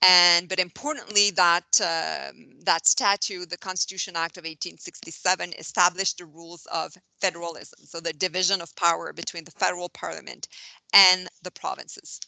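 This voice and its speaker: A woman with a French Canadian accent speaks at a moderate pace with a fairly low pitch, vocal fry and a bright, sharp tone, her monotone, flat intonation set against big swings in loudness, in a dry, close sound with no echo and a quiet background. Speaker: constitutional law academic speaker. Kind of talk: lecture. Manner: halting, many fillers.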